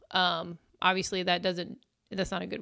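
A woman with a Midwestern US accent at a fairly quick pace, medium pitch, a bright, sharp tone and vocal fry. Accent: US Midwest. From Illinois. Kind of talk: testimony.

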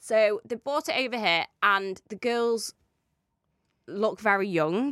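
Her pitch fairly high, a woman with a British accent speaks at a very slow pace with lively intonation. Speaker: podcast co-host. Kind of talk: casual chat. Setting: studio.

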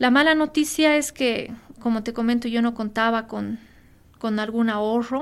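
Using an unremarkable speaking voice, a woman with a fairly high pitch talks at a moderate pace with fairly even intonation. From Bolivia, La Paz. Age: 30s. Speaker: industrial engineer and green entrepreneur. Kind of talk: interview.

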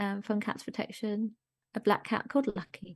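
Against a quiet background, a woman talks in a somewhat breathy voice at a medium pitch. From Germany. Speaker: charity founder and columnist. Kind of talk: casual chat.

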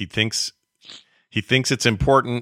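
Bright and sharp in tone, a man speaks at a moderate pace with fairly even intonation, the recording very clean, dry and close, with no echo and a silent background. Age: 50s. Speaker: podcast host. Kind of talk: casual chat.

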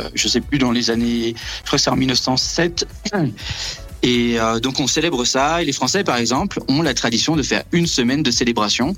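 A man speaks at a moderate pace in a medium pitch, with ordinary pitch variation. Music plays in the background. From Brittany, France. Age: 30s. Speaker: astrophysics research assistant. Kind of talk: interview.

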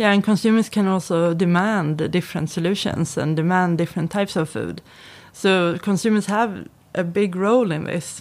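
A woman speaks in a Swedish accent at a moderate pace, her pitch medium and her intonation fairly even. The recording is very clean with a silent background. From Sweden. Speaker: research centre director. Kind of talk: interview. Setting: studio.

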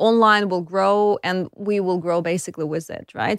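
In a slight Eastern European accent, a woman speaks with a dry, close sound and no echo. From Ukraine, Kyiv. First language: Russian or Ukrainian. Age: 30s. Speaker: tech startup founder and CEO. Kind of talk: interview.

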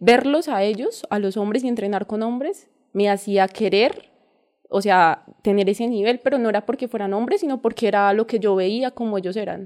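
This woman talks at a moderate pace in a fairly high pitch, with ordinary pitch variation. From Colombia, countryside near Ibagué, Tolima. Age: 20s. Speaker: parkour coach. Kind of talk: interview.

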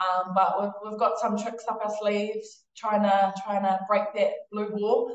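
A woman with a New Zealand accent talks at a fairly slow pace with hardly any pauses, her pitch fairly high. Her intonation is monotone and flat, and the room echo is audible. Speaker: international rugby player. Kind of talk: casual interview chat.

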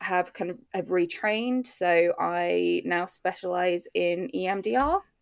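With a British accent, a woman talks in a medium pitch. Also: hardly any pauses. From UK. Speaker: maternal mental health therapist. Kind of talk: interview.

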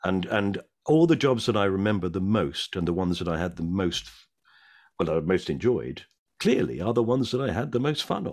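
Over a silent background in a very clean recording, a man talks with a very deep, low pitch, very wide pitch swings and vocal fry. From South London. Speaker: actor and comedian. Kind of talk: casual chat.

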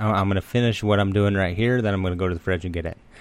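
A man talks at a very fast pace. His fairly low voice keeps a fairly even intonation. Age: 30s. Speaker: recovery podcast host. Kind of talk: personal monologue. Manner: halting.

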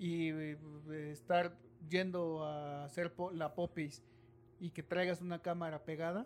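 Delivery is very slow. Pauses are long and frequent. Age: 40s. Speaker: podcast host. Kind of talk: casual chat.

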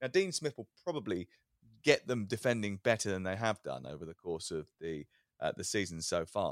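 A man with a British accent and very wide pitch swings, in a dry, close recording with no echo. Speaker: sports radio presenter. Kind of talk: casual football podcast chat.

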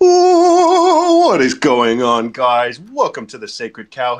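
A put-on character voice unfolds at a very slow pace. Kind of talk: influencer greeting. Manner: hyped, over-the-top.

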